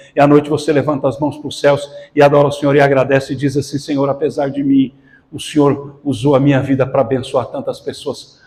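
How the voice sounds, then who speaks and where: Speaking very fast in a flat monotone, the man has a fairly high, somewhat breathy voice. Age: 60s. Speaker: pastor. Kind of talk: sermon.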